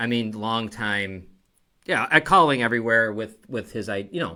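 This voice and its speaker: This man has a medium-pitched voice with a bright, sharp tone and a Buffalo accent. He talks at a moderate pace on a very clean recording with a silent background. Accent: Western New York (Buffalo). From Niagara Falls, Western New York. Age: 50s. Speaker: talk show host. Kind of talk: casual interview. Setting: studio.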